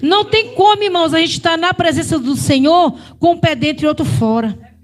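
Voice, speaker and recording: Over noticeable background noise, a woman with a northeastern Brazilian accent speaks at an extremely high pitch and a moderate pace, her intonation lively and her loudness very even. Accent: Brazilian northeastern accent, renewed. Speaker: preacher. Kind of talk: sermon.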